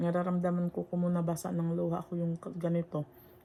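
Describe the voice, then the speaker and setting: A woman with a fairly low pitch talks at a fairly quick pace. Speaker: vlogger. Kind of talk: casual vlog monologue. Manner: halting.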